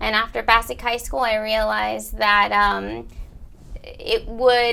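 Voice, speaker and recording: Speaking at a fairly slow pace, a woman talks in a Spanish accent. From Bridgeport, Connecticut. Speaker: college counselor. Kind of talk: interview.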